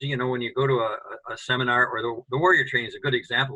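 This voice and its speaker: This is a man's voice. His pitch sits fairly high. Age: 70s. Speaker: co-founder of a men's training organization. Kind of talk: interview.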